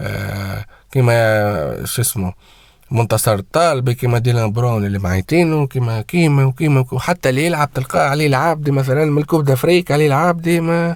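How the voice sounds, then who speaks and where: At a moderate pace, a man speaks at a medium pitch with lively intonation. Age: 20s. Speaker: football commentator YouTuber. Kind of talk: casual vlog rant. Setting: home, early morning. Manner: animated; loud.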